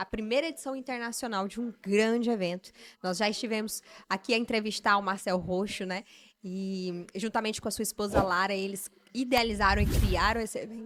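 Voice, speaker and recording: A woman with a plain, everyday voice and a fairly high pitch. She talks at a fairly quick pace with fairly even intonation. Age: 30s. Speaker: podcast host. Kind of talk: interview. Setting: live event.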